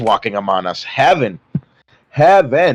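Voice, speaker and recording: Recorded dry and close with no echo, a man with vocal fry talks at a moderate pace and fairly high pitch, his voice making very wide pitch swings. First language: not English. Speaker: guest debating crime. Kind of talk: heated debate. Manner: halting, many restarts.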